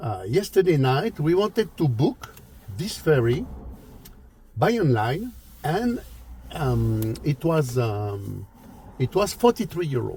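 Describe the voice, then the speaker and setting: Very slow, somewhat breathy speech from a man with a French accent, fairly high in pitch and dark, mellow in tone, with very wide pitch swings and long, frequent pauses. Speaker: travel and car vlogger. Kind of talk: casual travel vlog talk. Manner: halting, many fillers and repetitions.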